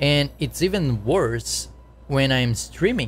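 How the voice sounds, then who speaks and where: A man speaks with a non-native accent. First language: not English. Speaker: game developer streamer. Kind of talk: live coding stream. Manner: casual, repetitive explaining.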